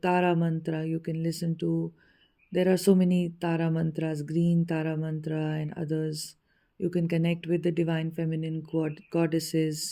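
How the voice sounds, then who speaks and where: Speaking at a moderate pace in a fairly low pitch, a woman delivers a dark, mellow tone with monotone, flat intonation on a very clean recording with a silent background. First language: Hindi. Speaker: spiritual teacher. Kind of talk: spiritual teaching talk.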